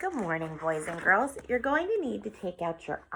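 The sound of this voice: The reading voice is unforced. It comes across that way throughout.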